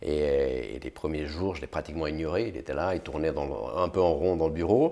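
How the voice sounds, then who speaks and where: A man's very deep, low voice, dark and mellow in tone, with vocal fry. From France-Switzerland border region (Thonon, Geneva, Lausanne). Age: 40s. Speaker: big-wave surfer and entrepreneur. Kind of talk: interview conversation.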